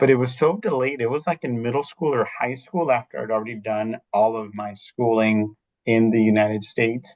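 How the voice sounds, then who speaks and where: The voice carries an American accent with ordinary pitch variation. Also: man. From Riverside, California (US). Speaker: school district administrator. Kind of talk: informational webinar. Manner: conversational, with fillers.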